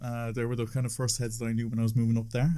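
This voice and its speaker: A man speaks with a Cork accent. His tone is dark and mellow. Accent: Irish (Cork). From Ireland, Cork. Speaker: DJ and music producer. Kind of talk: casual chat.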